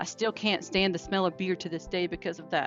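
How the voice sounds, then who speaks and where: Over music in the background, a woman with a Southern US accent speaks at a moderate pace. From North Carolina, USA. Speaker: podcaster, trauma survivor. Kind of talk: personal storytelling.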